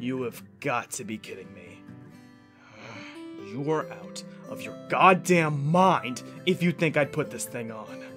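A man's put-on character voice, fairly high-pitched and fairly slow, with long, frequent pauses and clear music in the background. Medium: dub.

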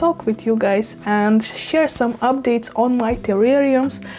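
Speaking at a fairly slow pace, a woman has a fairly high pitch and a dark, mellow tone, with faint background noise.

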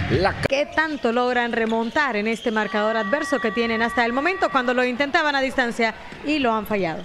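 A woman talks fairly quickly, her voice fairly high and her intonation lively, while noticeable background noise carries on behind her. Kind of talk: live sports color commentary, basketball. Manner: measured, analytical, flowing commentary.

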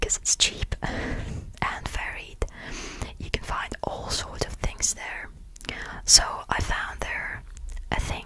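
Whispering and soft-spoken, a man talks at a very slow pace with long, frequent pauses and big swings in loudness over light background noise. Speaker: video creator. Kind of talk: soft-spoken ASMR show and tell. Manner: soft close-mic ASMR whisper. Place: home room. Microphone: studio mic.

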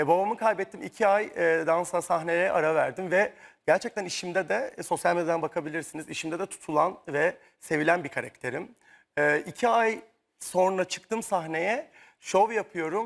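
A high-pitched man talks at a moderate pace with ordinary pitch variation. The recording is very clean, with a silent background. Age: 30s. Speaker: dancer. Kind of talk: talk show interview. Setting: tv studio.

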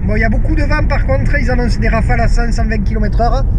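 There is noticeable background noise while a man is talking. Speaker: mountain bike vlogger. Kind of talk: casual vlog chat. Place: car. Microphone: phone near.

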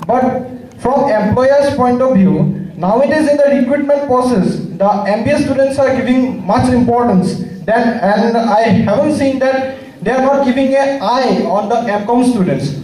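With an extremely high pitch, a man speaks fairly slowly at very even loudness and ordinary pitch variation, with audible room echo. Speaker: commerce student asking question. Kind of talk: formal student question. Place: hall.

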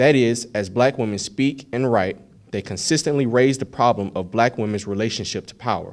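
Over a quiet background, a man with a plain, everyday voice talks at a moderate pace in a medium pitch with ordinary pitch variation. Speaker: occasion speaker. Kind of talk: formal academic address. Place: hall. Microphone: podium.

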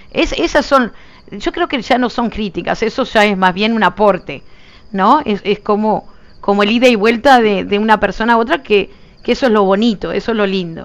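Speaking at a moderate pace with a Uruguayan accent, a woman uses a fairly high pitch and ordinary pitch variation. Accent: Uruguayan Rioplatense Spanish. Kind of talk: casual gameplay livestream chat.

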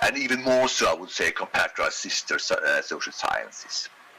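A man speaks with a Swedish accent at a moderate pace. Light background noise sits behind him. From Sweden. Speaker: economics professor. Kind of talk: lecture. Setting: video call. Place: home room.

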